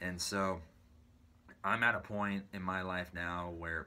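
A man with an American accent speaks at a fairly slow pace in a very deep, low voice, his bright, sharp tone held to a monotone, flat intonation. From US West Coast, San Bruno, California. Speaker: drummer and YouTuber. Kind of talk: personal story monologue. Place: home room. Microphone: phone near.

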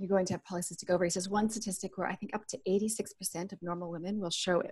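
A woman speaks in a somewhat breathy voice. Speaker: remote podcast guest. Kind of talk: interview answer. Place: home room. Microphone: earbuds.

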